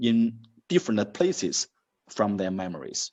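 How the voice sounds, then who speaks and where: A man with a Chinese accent speaks with very wide pitch swings. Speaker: university dean. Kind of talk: interview. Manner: halting.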